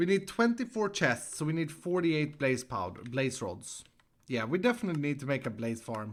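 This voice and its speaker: A man with a Swedish accent, fairly high in pitch, with very wide pitch swings and a fairly quick pace, on a very clean recording with a silent background. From Sweden. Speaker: Minecraft streamer. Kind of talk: live gameplay stream chat. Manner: animated.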